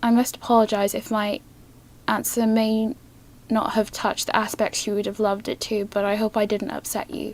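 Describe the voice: A woman's medium-pitched, slightly mellow voice in monotone, flat intonation at a moderate pace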